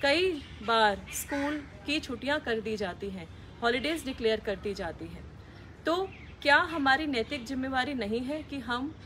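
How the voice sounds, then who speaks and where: The speech comes at a fairly slow pace with lively intonation and big swings in loudness. Light background noise sits underneath. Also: woman, high pitch for a woman. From India, Delhi. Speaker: civil servant. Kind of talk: public service message. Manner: formal. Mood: earnest, appealing. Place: garden.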